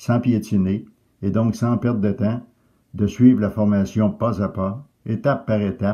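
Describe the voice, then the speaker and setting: A man's fairly low voice in a Quebec accent, dark and mellow in tone, fairly slow in pace, with fairly even intonation. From Quebec, Canada. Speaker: retired phosphenism teacher. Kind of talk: testimonial to camera.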